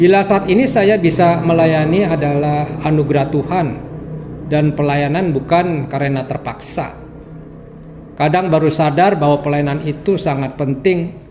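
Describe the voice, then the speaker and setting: Amid audible room echo and noticeable background noise, a man of fairly high pitch speaks at a moderate pace with fairly even intonation. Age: 60s. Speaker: church member sharing testimony. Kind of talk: testimony.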